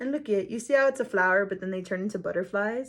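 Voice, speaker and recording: A woman speaks at a medium pitch in an animated tone. The background is quiet. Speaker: tarot reader. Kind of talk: tarot reading video monologue. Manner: loud; animated, casual.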